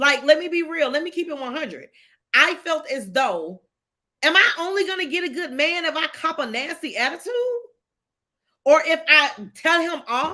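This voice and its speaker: A woman projects a raised, animated voice at an extremely high pitch with a bright, sharp tone and lively intonation. She moves at a moderate pace with long, frequent pauses. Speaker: livestream host. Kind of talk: casual livestream talk with faith testimony.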